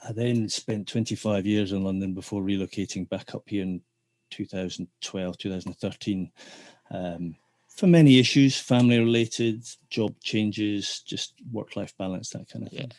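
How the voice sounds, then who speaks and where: A man's fairly low voice in a dry, close sound with no echo. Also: ordinary pitch variation, moderate pace, quiet background. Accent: Scottish. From Scotland, Dundee. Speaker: theatre technician turned business development manager. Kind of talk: interview. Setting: podcast.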